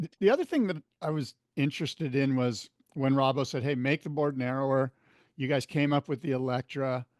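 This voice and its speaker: Here is a man with a plain, everyday voice, pitched fairly high. He talks at a fairly quick pace with fairly even intonation, in a dry, close sound with no echo. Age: 60s. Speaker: podcast host. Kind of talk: podcast interview.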